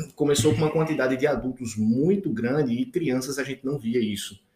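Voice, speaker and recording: His voice carries a somewhat breathy quality. The man speaks at a fairly quick pace. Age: 30s. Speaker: intensive care physician. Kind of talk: casual interview chat.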